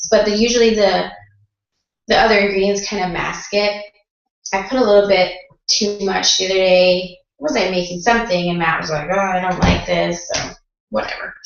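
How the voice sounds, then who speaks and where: A woman at a medium pitch speaks with long, frequent pauses, and the room echo is audible. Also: fairly even intonation, moderate pace. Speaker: mom vlogger. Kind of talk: casual tutorial. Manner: casual, chatty.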